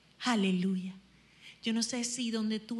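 The woman's voice is fairly high and somewhat breathy. Her intonation stays fairly even. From Venezuela, Zulia (Machiques). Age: 40s. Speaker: worship leader. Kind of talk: worship exhortation.

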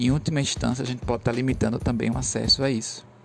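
A medium-pitched male voice against noticeable background noise. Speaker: teacher. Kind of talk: lecture. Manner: casual, hesitant with filler words.

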